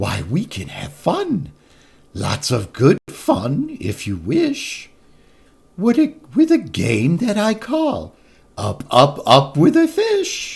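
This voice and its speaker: Using a put-on character voice, a man speaks very slowly in a high pitch. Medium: read story. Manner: bouncy, boastful.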